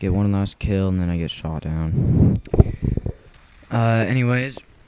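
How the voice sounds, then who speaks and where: A man speaks at a fairly slow pace in a fairly low voice with ordinary pitch variation. Noticeable background noise runs under his speech. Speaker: gameplay commentator. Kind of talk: gameplay commentary. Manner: halting, many fillers.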